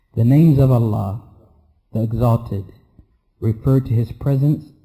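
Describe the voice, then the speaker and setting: Somewhat breathy with a dark, mellow tone, the voice keeps fairly even intonation at a moderate pace. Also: man. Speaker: Islamic teacher. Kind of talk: lecture.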